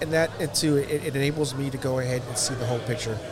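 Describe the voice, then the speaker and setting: Over noticeable background noise, a man with an American accent speaks fairly quickly. His fairly high-pitched voice has a monotone, flat intonation. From South Texas. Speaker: construction company worker. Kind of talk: interview. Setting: studio.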